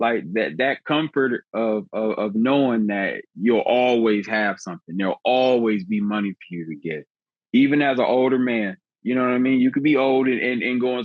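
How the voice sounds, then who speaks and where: A man with a normal speaking voice, medium pitch and ordinary pitch variation. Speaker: HVAC technician. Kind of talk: casual podcast chat.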